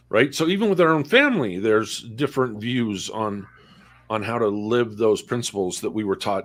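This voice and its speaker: A man speaks at a medium pitch and a moderate pace, with ordinary pitch variation and a normal speaking voice. The recording is very clean, with a silent background. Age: 60s. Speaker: discussion guest. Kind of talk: casual discussion. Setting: livestream.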